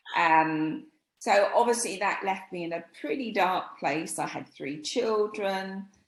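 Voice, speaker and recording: Speaking at a very slow pace, a woman with an English accent uses lively intonation. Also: medium pitch for a woman. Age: 60s. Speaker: image stylist. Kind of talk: interview.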